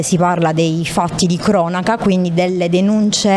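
A woman's fairly even intonation at a moderate pace, with light background noise. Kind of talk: interview answer. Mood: calm, earnest. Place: hall. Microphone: handheld.

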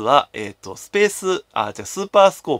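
A man with vocal fry and a fairly high pitch talks at a fairly quick pace in a dry sound with no echo and a quiet background. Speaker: game collector YouTuber. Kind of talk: solo commentary video. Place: home room. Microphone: phone near.

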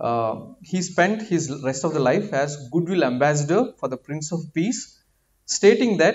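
A man speaks at a fairly slow pace in a fairly high pitch. His pitch swings very widely. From India, Andhra Pradesh. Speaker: doctor and guest preacher. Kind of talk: sermon. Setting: church. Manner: halting. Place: church. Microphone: podium.

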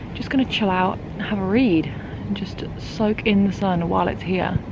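Over noticeable background noise, a woman with an English accent talks at a moderate pace. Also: dry sound with no echo. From England. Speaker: vlogger. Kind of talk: casual vlog monologue. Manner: chatty, casual. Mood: relaxed, cheerful.

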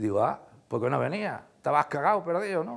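Quiet surrounds the recording. A man speaks very fast. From Andalusia, Spain (Osuna, Sevilla). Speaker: former factory worker and anti-Franco activist. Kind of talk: oral history interview. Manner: halting, with repetitions.

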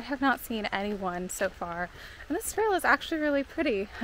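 A woman with lively intonation, in a dry sound with no echo and light background noise. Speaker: solo hiker vlogger. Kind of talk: casual vlog chat. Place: forest. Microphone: phone near.

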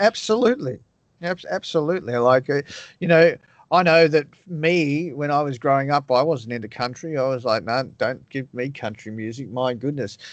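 A man with an Australian accent speaks at a moderate pace in a fairly high pitch with ordinary pitch variation. The sound is dry with no echo, over a quiet background. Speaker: radio DJ and podcast host; radio DJ, podcast host. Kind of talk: interview. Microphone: video call.

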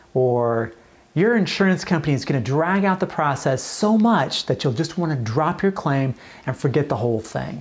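This man sounds somewhat breathy, with lively intonation. He talks at a moderate pace. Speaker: insurance adjuster educator. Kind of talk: educational commentary to camera. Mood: sarcastic, animated. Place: office.

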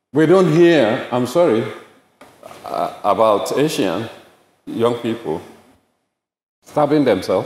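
Over audible room echo, a man speaks at a very slow pace with long, frequent pauses. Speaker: bereaved father; speaker. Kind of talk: public talk. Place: hall. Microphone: podium.

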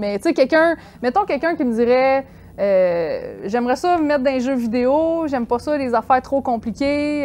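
Her dark, mellow tone sits at a high pitch as this woman speaks at a fairly slow pace with lively intonation. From Quebec. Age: 30s. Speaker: freelance graphic artist; guest. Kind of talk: casual chat. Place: studio.

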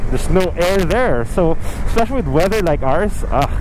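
The sound is dry with no echo, though noticeable background noise comes through. A man talks at a fairly quick pace with lively intonation. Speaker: motorcycle rider vlogger. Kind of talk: casual vlog chat. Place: motorbike. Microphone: helmet.

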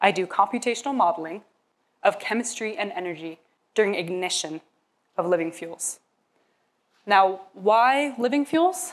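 Long pauses come often in this clip. The woman talks at a moderate pace. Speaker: presenter. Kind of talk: prepared research talk. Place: hall. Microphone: lapel.

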